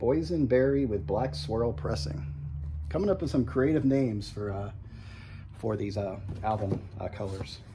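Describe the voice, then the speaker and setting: Noticeable background noise beneath a man's moderately paced speech, full of very wide pitch swings. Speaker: music YouTuber reviewing vinyl releases. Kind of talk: casual product walkthrough. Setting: in a record store. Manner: halting, many fillers. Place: shop.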